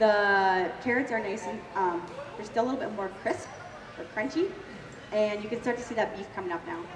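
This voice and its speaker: The speaker has a Canadian accent and lively intonation, moving at a fairly quick pace. The recording carries noticeable background noise and audible room echo. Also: woman, fairly high pitch for a woman. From Ontario, Canada. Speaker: cooking demonstrator. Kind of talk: live cooking demo. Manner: fast.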